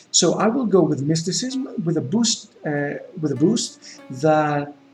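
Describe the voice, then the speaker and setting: Music plays in the background as a man speaks with a Greek accent. His intonation is lively. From Greece. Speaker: gaming YouTuber. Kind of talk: let's play gameplay commentary. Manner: hesitant, with many fillers and repetitions.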